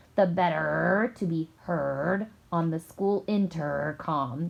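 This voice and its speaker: A woman's put-on character voice, growling and fairly low in pitch, at a very slow pace with ordinary pitch variation. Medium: read story.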